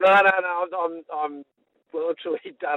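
A man is speaking. He has an Australian accent. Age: 60s. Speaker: sports chaplain. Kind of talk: casual interview. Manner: energetic.

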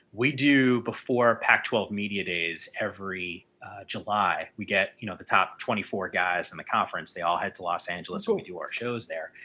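A man talks at a moderate pace with hardly any pauses and big swings in loudness. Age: 30s. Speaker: sports broadcaster. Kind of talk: casual chat.

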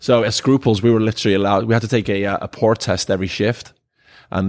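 A man in a Welsh accent talks at a very fast pace with fairly even intonation, the recording very clean and the background silent. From Wales. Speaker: bar owner. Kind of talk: casual chat. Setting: bar.

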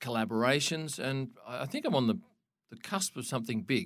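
A man with an Australian accent and lively intonation, in a very clean recording over a silent background. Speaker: motorsport photographer. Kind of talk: interview.

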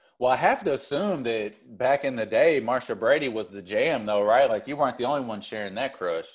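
A man's plain, everyday voice at a medium pitch, fairly quick with hardly any pauses and lively intonation, over a quiet background. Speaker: podcast host. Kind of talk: casual interview chat.

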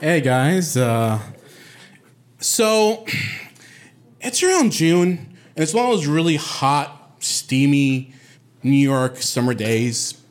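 Very slowly and with long, frequent pauses, a man speaks in a fairly high voice whose pitch swings very widely while his loudness stays very even. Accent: American. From Puerto Rico, Bayamón. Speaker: storyteller. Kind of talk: live storytelling.

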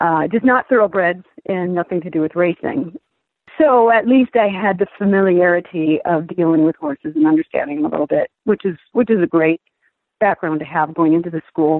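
In a normal speaking voice, a woman talks fairly quickly at a fairly low pitch with ordinary pitch variation. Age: 50s. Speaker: aspiring jockey, retired federal agent. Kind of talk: interview.

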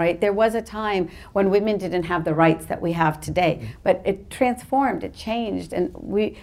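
Her voice shows vocal fry at a medium pitch. The woman keeps a moderate pace with ordinary pitch variation. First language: not English. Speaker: parent activist and journalist. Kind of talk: panel discussion before live audience. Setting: stage with audience.

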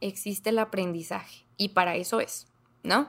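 This is a woman speaking with a northern Mexican accent. The recording is very clean, with a silent background. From northern Mexico, Ciudad Juárez, Chihuahua. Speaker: comedian. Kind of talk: casual chat.

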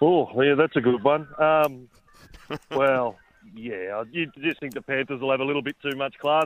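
The voice carries an Australian accent. It moves at a moderate pace with ordinary pitch variation. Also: man, fairly high pitch for a man. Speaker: sports editor. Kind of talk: sports radio chat.

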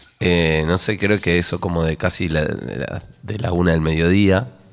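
At a moderate pace, someone puts on a raspy character voice. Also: man, very deep, low pitch for a man. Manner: relaxed, hesitant, halting.

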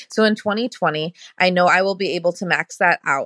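The tone is bright and sharp, and the delivery moves at a fairly quick pace with fairly even intonation. The sound is dry and close with no echo, over a quiet background. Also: woman. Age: 30s. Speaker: listener asking a question. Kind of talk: recorded voicemail question.

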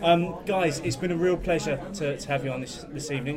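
This man's fairly quick delivery carries fairly even intonation, with noticeable background noise behind him. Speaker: podcast host. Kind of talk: casual chat.

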